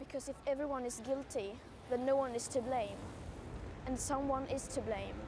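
Over noticeable background noise, a woman speaks at a moderate pace in a high voice, the sound dry with no echo. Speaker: climate activist. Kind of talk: speech. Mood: earnest, serious. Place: street. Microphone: lapel.

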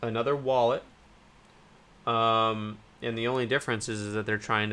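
The voice has a bright, sharp tone and moves at a fairly quick pace. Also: man. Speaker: cryptocurrency YouTuber. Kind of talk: casual news commentary. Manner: hesitant, many fillers. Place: home room.

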